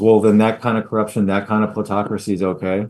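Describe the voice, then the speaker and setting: Against a quiet background, a man speaks very fast in a monotone, flat intonation. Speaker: political candidate. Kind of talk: political commentary live stream. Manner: casual, hesitant.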